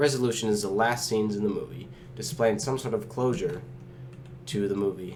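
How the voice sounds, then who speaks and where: Vocal fry marks this man's medium-pitched voice. He talks at a moderate pace with ordinary pitch variation. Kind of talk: explainer talk on film.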